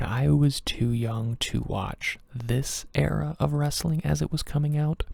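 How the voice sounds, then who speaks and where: Soft-spoken and somewhat breathy, a man talks at a fairly slow pace. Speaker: ASMR creator. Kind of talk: ASMR soft-spoken ramble.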